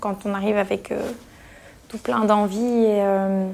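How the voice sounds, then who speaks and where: The voice is in the medium pitch range. It belongs to a woman. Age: 30s. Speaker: emergency nurse. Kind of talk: interview.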